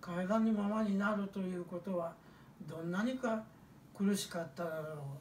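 A man speaks with a Hiroshima accent at a high pitch, moderate pace, and ordinary pitch variation. Audible room echo and light background noise are present. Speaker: atomic bomb survivor. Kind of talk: testimony talk to children. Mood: solemn, reflective. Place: home room.

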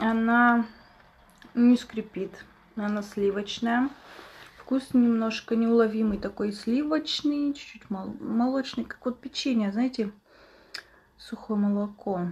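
Speaking at a very slow pace with long, frequent pauses, a woman uses a fairly high pitch and fairly even intonation. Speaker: ASMR streamer. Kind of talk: casual live-stream chat with eating sounds.

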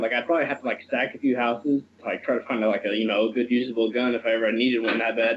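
A man is talking, with light background noise present. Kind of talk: casual conversation. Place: home room. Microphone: video call.

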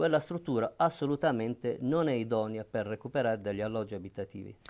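Pitch variation is ordinary. The pace is fairly quick. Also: man. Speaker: city councillor. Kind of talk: debate answer. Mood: firm, argumentative. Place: studio. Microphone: lapel.

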